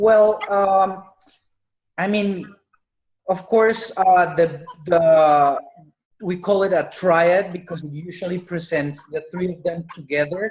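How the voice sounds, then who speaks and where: With a Spanish accent, the speaker goes at a very slow pace, leaving long, frequent pauses. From Colombia. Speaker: medical doctor. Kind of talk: webinar Q&A.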